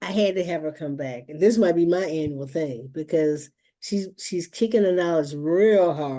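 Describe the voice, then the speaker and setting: A woman's fairly low voice, dark and mellow in tone, with ordinary pitch variation, a moderate pace and a quiet background. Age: 60s. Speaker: museum staff, event host. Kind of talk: webinar closing remarks. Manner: animated.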